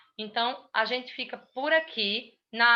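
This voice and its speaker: Pitched fairly high with ordinary pitch variation, the woman has an unremarkable speaking voice. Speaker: tax instructor. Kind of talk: lecture.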